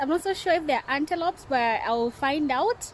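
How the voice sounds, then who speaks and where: A woman's lively-intoned voice, dry with no echo, over light background noise. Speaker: vlogger reviewing a restaurant. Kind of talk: casual vlog chat. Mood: cheerful, enthusiastic. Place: garden. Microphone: phone near.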